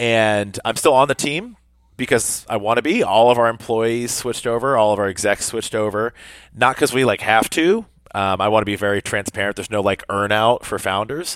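Speaking fairly quickly, the man keeps a medium pitch and ordinary pitch variation. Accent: American. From US South. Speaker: fitness media founder. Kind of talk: podcast interview. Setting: video call.

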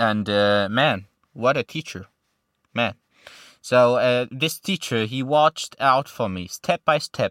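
A man with a Syrian accent speaks at a medium pitch and very slow pace, with ordinary pitch variation and long, frequent pauses, on a very clean recording with a silent background and a dry, close sound with no echo. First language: Arabic. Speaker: refugee interviewee. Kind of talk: casual interview, personal story.

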